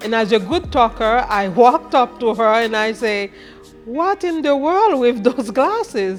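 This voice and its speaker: With music in the background, a woman with a Haitian accent speaks at a fairly slow pace, her pitch swinging very widely. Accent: Haitian Creole. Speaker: chef and food business owner. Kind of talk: interview answer.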